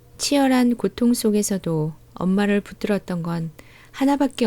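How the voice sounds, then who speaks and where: This woman's voice has a dark, mellow tone at a medium pitch, with ordinary pitch variation. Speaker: audiobook narrator. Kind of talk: audiobook essay reading. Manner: soft-spoken.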